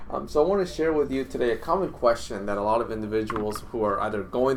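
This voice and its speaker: A man with a Spanish accent and medium pitch speaks at a fairly quick pace with ordinary pitch variation. Audible room echo fills the recording. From Dominican Republic, moved to the US at age seven. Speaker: clinician and course instructor. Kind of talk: casual instructional talk to camera. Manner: halting, frequent fillers and repetitions.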